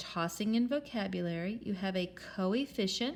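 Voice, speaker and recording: A woman with a plain, everyday voice talks at a moderate pace with lively intonation. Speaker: math teacher. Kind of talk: tutorial.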